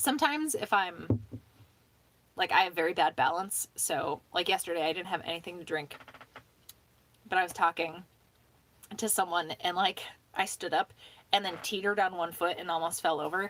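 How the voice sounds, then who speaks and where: Mumbling at a moderate pace with ordinary pitch variation, the speaker leaves long, frequent pauses. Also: woman, fairly low pitch for a woman. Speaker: livestreamer. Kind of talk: casual chat.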